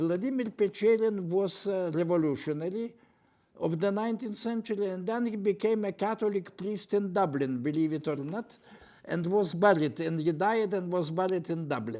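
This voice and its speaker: A man's high-pitched voice with a Lithuanian accent, a dark, mellow tone and lively intonation. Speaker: poet and retired professor. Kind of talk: panel interview. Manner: halting, with repetitions.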